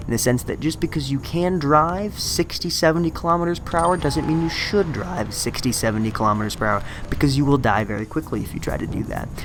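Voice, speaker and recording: Noticeable background noise sits under the clip. A man talks at a very fast pace with lively intonation. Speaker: gaming commentator. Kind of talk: gameplay voiceover commentary. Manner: casual, conversational.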